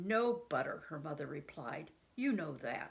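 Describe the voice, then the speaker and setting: A woman uses a put-on character voice, growling at a very deep, low pitch. She speaks at a moderate pace with very wide pitch swings. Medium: read story.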